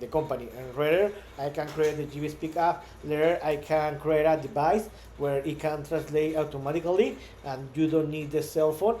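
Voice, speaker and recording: A man with a Spanish accent speaks at a moderate pace. His pitch is fairly high, with fairly even intonation. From Mexico. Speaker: startup founder. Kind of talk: vlog monologue. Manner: halting, many repetitions.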